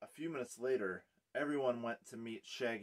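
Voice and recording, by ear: The pitch varies in an ordinary way while reading aloud in a natural voice. It is quiet in the background.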